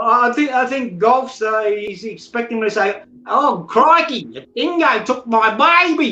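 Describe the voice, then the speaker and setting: A man in an Australian accent, extremely high-pitched, with a raised, projected voice, lively intonation, a fairly slow pace with hardly any pauses, and noticeable background noise. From southeastern Australia. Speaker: chat panel participant. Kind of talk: casual chat. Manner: laid back.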